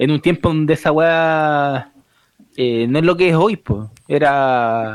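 A man with a Chilean accent speaks at a very slow pace in a fairly high pitch. His pitch varies in an ordinary way while his loudness stays very even. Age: 30s. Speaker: film podcast panelist. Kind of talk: casual chat.

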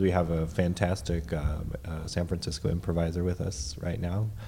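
The man's pitch is very deep and low. He talks at a fairly quick pace with fairly even intonation. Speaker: comedy podcast co-host. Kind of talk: casual improv comedy chat.

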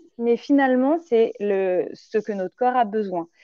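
This woman's voice is high-pitched and her intonation lively, and she talks at a very slow pace. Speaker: naturopath. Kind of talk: interview, explaining nutrition. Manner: hesitant, many fillers; animated.

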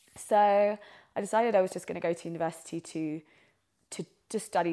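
Over a silent background in a very clean recording, a woman with a southern English accent talks at a fairly quick pace with ordinary pitch variation. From southeast England. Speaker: podcast co-host, drama student. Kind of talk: casual chat. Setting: friend's living room.

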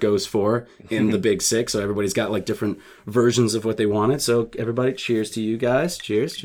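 A man's medium-pitched voice with ordinary pitch variation, a fairly quick pace and noticeable background noise. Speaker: podcast host.

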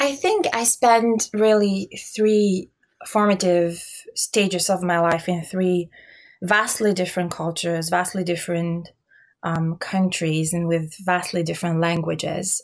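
Delivery is fairly slow, with fairly even intonation. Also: woman, medium pitch for a woman. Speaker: civic engagement worker and refugee advocate. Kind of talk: interview. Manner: hesitant, many fillers.

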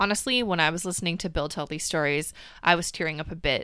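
The voice moves at a fairly quick pace with ordinary pitch variation. Its tone is bright and sharp, with vocal fry. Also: woman. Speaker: podcast host and science communicator. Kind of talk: scripted narration. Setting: home closet recording.

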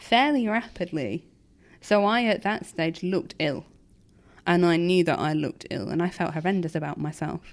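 Recorded very cleanly with a silent background, a woman with an ordinary speaking voice talks at a moderate pace in a fairly low pitch with lively intonation. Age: 30s. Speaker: kidney transplant patient. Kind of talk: interview.

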